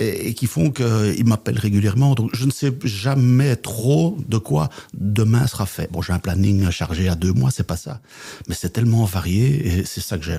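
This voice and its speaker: In a Belgian accent, the voice is somewhat breathy with a dark, mellow tone. Lively intonation runs at a fairly slow pace. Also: man, fairly low pitch for a man. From Belgium, Flemish Brabant. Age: 60s. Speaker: business coach and trainer. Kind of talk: podcast interview.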